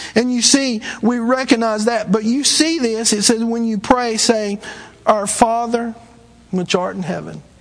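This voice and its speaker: With a Southern US accent, a man speaks at a high pitch and a moderate pace. His intonation is fairly even, with noticeable background noise behind him. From US South. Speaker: traveling evangelist preacher. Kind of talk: sermon. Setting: church.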